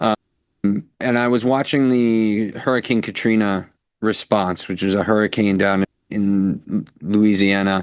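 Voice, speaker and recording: With an American accent, a man with an unremarkable speaking voice talks slowly at a fairly low pitch with fairly even intonation. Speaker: violence prevention consultant. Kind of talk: interview.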